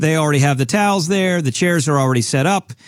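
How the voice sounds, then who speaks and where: A very fast, animated man with a fairly high pitch and ordinary pitch variation, in a very clean recording with a silent background. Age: 40s. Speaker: financial advisor radio host. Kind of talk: casual chat.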